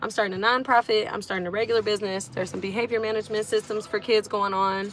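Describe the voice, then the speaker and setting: A woman with an American accent talks at a fairly quick pace, her pitch fairly high. She has an ordinary speaking voice. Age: 20s. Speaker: musician and online creator. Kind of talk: casual livestream talk.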